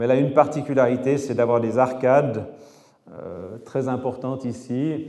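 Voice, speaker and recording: In a room with audible echo, a man with a Swiss accent speaks at a medium pitch, his loudness swinging a lot. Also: fairly even intonation, moderate pace. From French-speaking Switzerland. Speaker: architect and engineer, lecturer. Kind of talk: lecture.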